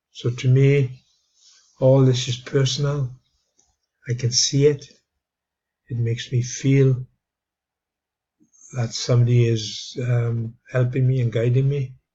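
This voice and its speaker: Somewhat breathy and medium in pitch, a man speaks in a monotone, flat way at a fairly slow pace, with long, frequent pauses. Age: 70s. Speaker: video blogger. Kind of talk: casual monologue. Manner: halting, many fillers.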